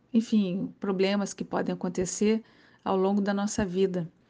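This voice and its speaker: Against a quiet background, a woman speaks fairly slowly in a medium pitch, her dark, mellow tone delivered with monotone, flat intonation. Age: 50s. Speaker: former surfer and athlete. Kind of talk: personal testimony and health advice. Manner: casual, with many filler words.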